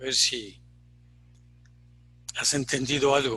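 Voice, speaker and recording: This is a man with a medium pitch. He talks at a fairly slow pace. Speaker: Zen teacher. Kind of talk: dharma talk. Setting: online retreat. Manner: reflective, halting.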